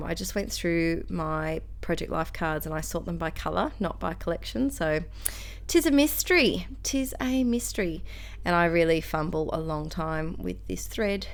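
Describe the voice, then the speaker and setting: A woman talks at a moderate pace with a strong Australian accent. Room echo is audible. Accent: broad Australian. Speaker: scrapbooking crafter, school teacher. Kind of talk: crafting tutorial. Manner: casual, chatty with many fillers.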